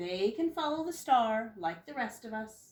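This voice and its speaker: A woman puts on a rumbling character voice, fairly high in pitch, at a moderate pace. Her pitch swings very widely and her loudness rises and falls in big swings. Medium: read story. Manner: grumbling, self-important.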